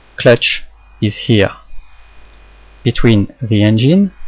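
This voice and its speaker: Very slow speech from a man at medium pitch with ordinary pitch variation. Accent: French. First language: French. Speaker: hobbyist instructor. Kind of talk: tutorial.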